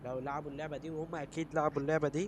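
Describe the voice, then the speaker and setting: An animated tone with an Egyptian accent. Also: man. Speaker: gaming YouTuber. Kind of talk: gameplay commentary. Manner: casual, animated.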